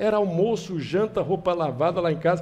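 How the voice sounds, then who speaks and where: This man has a high pitch and a dark, mellow tone, speaking at a fairly slow pace. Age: 70s. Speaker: political candidate. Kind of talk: interview.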